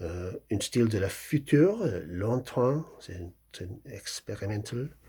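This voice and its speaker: In a very clean recording with a silent background, a man with a strong English accent speaks at a very slow pace, his somewhat breathy voice dark and mellow in tone, with lively intonation and big swings in loudness. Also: medium pitch for a man. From England. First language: English (speaking French). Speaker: novelist. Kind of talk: talk about his book. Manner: halting, many hesitations.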